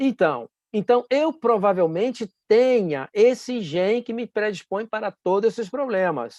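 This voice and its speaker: Against a quiet background, a man speaks at a fairly slow pace, the sound dry and close with no echo. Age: 60s. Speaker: medical doctor. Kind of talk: health talk. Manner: halting, many fillers.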